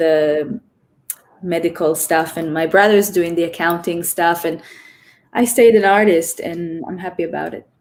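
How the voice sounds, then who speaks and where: Speaking at a moderate pace, a woman with a fairly low pitch keeps fairly even intonation but shows big swings in loudness. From Israel. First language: Hebrew. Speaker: choreographer. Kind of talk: interview.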